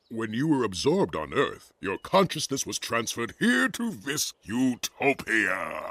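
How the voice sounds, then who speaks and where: A man's cartoonish character voice at a medium pitch, with hardly any pauses. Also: moderate pace. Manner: smug, solemn.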